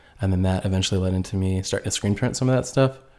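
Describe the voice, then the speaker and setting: Speaking very fast in a fairly low voice, a man with a Midwestern American accent comes through on a very clean recording with a silent background. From US Midwest, northern Indiana. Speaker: graphic designer and clothing brand founder. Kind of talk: casual chat.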